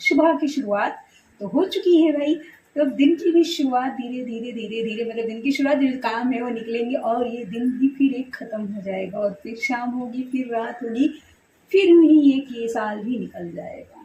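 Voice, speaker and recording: A woman with a high pitch and a dark, mellow tone talks at a moderate pace. Her intonation is lively, and her loudness swings widely. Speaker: family vlogger. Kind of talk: casual vlog chat.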